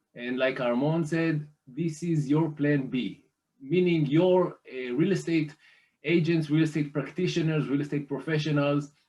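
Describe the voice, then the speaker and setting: The voice has a dark, mellow tone and an Israeli accent. It moves at a moderate pace with fairly even intonation. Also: man, fairly high pitch for a man. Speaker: private lender representative. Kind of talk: business presentation. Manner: hesitant, many fillers.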